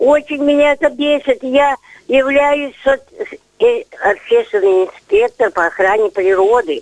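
Speaking at a fairly slow pace with long, frequent pauses, a woman uses a high pitch with very wide swings and very even loudness, in a dry, close sound with no echo. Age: 80s+. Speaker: volunteer nature inspector. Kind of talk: radio call-in complaint. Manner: agitated.

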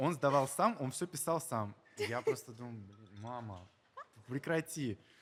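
Speaking at a fairly slow pace, a man uses a fairly high-pitched voice. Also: lively intonation, big swings in loudness. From Dagestan, Russia (Makhachkala). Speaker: event guest manager and society columnist. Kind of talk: interview. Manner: halting, with repetitions.

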